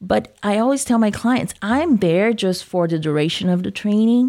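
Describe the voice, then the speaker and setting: A woman talks with a Brazilian accent. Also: very clean recording, silent background. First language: Portuguese. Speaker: workplace trainer and business owner. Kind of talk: interview discussion.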